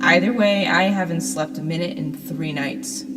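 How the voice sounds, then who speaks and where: Music plays in the background as the woman talks at a fairly slow pace. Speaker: horror story narrator. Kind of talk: horror story narration.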